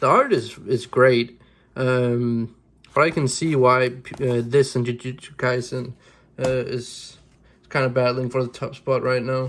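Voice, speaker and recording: Speaking at a fairly slow pace, a man with a Danish accent uses monotone, flat intonation. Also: medium pitch for a man, very clean recording, silent background. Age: 20s. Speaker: manga YouTuber. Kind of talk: casual vlog review. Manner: halting, many restarts and fillers.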